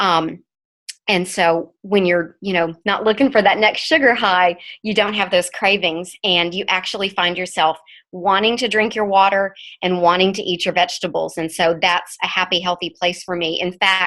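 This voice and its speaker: Her tone is bright and sharp, and her intonation stays fairly even. The woman speaks at a moderate pace in an American accent. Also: medium pitch for a woman. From Texas, north Texas. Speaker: network marketing ambassador giving testimony. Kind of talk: testimony. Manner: halting, stuttering.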